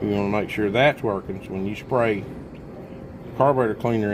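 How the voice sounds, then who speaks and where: Amid noticeable background noise and audible room echo, a man speaks at a fairly low pitch. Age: 60s. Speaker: small engine mechanic. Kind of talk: tutorial. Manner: casual, conversational.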